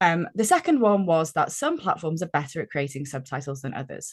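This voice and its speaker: With a British accent, a woman talks in very wide pitch swings against a quiet background. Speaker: gamification consultant, business founder. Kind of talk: podcast interview. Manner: chatty.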